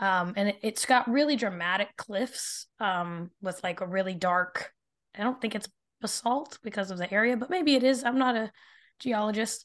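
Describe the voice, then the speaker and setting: A woman with an ordinary speaking voice and an American accent talks at a moderate pace with a fairly high pitch. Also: ordinary pitch variation, quiet background. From Arizona. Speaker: speculative fiction author. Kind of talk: casual chat.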